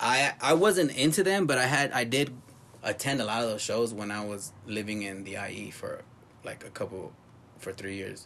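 With an American accent, a man talks at a moderate pace and medium pitch, his intonation lively and his loudness swinging widely. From Los Angeles (South Central and West LA). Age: 30s. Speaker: punk drummer. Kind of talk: casual chat.

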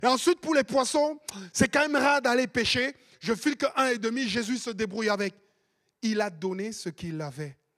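A man's voice with very wide pitch swings, moderate pace, and a dry, close sound with no echo. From Cameroon. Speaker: pastor. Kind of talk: sermon. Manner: animated.

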